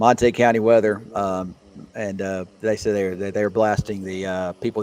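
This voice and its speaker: Over noticeable background noise, a man with a Southern US accent talks in a fairly low pitch with monotone, flat intonation. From Mississippi, US South. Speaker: meteorologist. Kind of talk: casual livestream chat.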